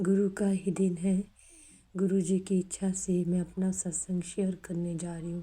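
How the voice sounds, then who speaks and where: A woman's medium-pitched, dark, mellow voice, somewhat breathy, with monotone, flat intonation. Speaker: devotee sharing testimony. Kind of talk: devotional testimony. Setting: recorded at home at evening.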